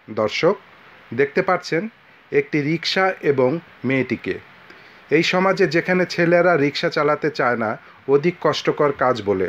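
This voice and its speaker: A man speaks in a high voice with very even loudness. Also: ordinary pitch variation. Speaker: video reporter narrator. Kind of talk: commentary. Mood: earnest, sympathetic. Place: street. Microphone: phone near.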